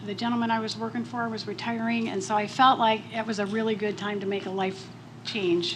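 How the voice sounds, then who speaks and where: Audible room echo and noticeable background noise surround a voice with fairly even intonation. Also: woman. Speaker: business owner. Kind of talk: panel talk. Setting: stage with audience. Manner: soft-spoken.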